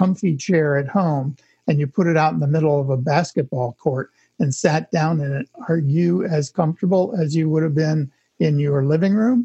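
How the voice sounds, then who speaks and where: A man's fairly high-pitched, somewhat breathy voice with a dark, mellow tone, ordinary pitch variation and a moderate pace, in a dry, close sound with no echo. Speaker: architect and author. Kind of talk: casual interview.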